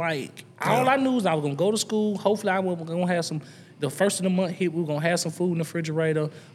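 In a Southern US accent, a man speaks at a high pitch with an animated tone and ordinary pitch variation. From US South. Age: 40s. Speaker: entrepreneur. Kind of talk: casual chat. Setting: studio.

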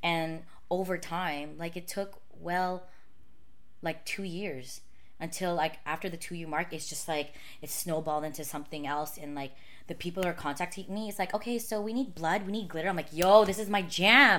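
Against noticeable background noise, a woman speaks at a moderate pace in a fairly low pitch with ordinary variation. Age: 30s. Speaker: makeup artist and YouTuber. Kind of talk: casual chat. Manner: casual, laughs a lot.

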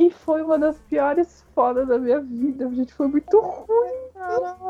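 A woman with a high voice and a dark, mellow tone speaks fairly slowly, her pitch swinging very widely in a dry, close recording with no echo. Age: 30s. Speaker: podcast guest. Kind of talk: casual chat.

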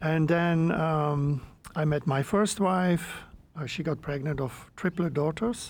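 In a very clean recording with a silent background, a man with a Flemish accent speaks at a very slow pace and a fairly high pitch, his pitch varying in an ordinary way. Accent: Belgian (Flemish) English. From Belgium. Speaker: entrepreneur and men's work facilitator. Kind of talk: interview.

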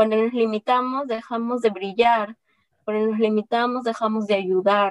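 At a moderate pace, a woman speaks with a fairly high pitch and monotone, flat intonation, in a dry, close sound with no echo. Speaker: entrepreneur and engineer, podcaster. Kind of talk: interview.

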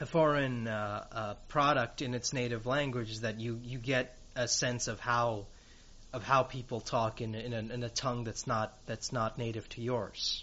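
A man with an American accent speaks at medium pitch. His pace is fairly slow. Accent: American-sounding English. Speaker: podcast host. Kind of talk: casual interview. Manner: halting.

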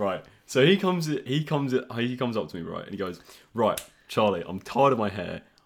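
A man with a southern English accent talks at a very fast pace, his pitch medium and his intonation lively. He stops often for long pauses. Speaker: podcast host. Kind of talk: casual chat.

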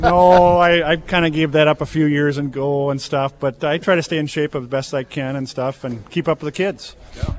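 Speaking at a moderate pace, a man barely pauses at all. His pitch is fairly high and his intonation fairly even. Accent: Upper Midwest US. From southeastern Minnesota, near Lake City. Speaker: insurance agent. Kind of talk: radio interview. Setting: outdoor farm remote broadcast. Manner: halting, repeats words.

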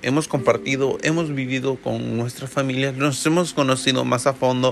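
Fairly even intonation at a moderate pace, over noticeable background noise. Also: man. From El Salvador. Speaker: podcast host. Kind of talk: casual monologue.

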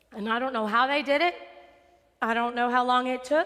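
In an American accent, a woman speaks with a high pitch. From West Texas. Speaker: preacher. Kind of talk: sermon. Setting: church sanctuary with congregation.

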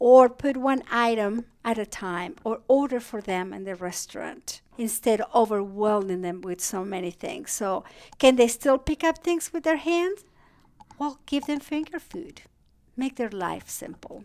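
A woman with a Spanish accent, fairly high in pitch, with very wide pitch swings, big swings in loudness and a fairly slow pace. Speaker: geriatric psychiatrist. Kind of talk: interview.

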